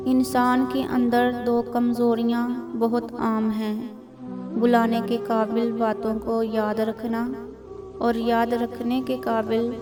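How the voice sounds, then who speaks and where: A woman's fairly high voice with fairly even intonation, music playing behind her. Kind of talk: reading of religious quotes.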